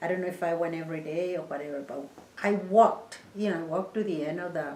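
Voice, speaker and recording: A woman with a Mexican accent talks at a fairly quick pace, fairly low in pitch and with ordinary pitch variation. The recording carries noticeable background noise and audible room echo. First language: Spanish. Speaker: interviewee, oral history. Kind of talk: oral history interview. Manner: halting, many fillers.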